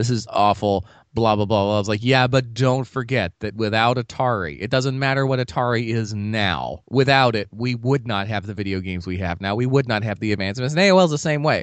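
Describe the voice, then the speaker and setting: A man talks in a normal speaking voice at a medium pitch, with ordinary pitch variation. His pace is fairly quick, with hardly any pauses. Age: 30s. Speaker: podcast co-host. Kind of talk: casual chat. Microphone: cheap mic bought at a closing-down sale.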